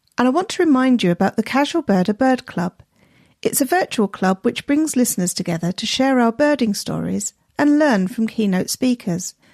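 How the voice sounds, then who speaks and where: A woman's voice with very wide pitch swings, in dry, close sound with no echo and a quiet background. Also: fairly high pitch for a woman, moderate pace. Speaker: podcast host. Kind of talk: podcast intro narration.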